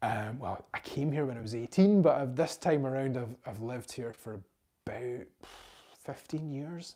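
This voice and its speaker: A man's medium-pitched voice, dark and mellow in tone, with lively intonation at a moderate pace. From Scotland, Galloway. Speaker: history content creator. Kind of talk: live stream Q&A. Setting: live stream. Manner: hesitant, many ums.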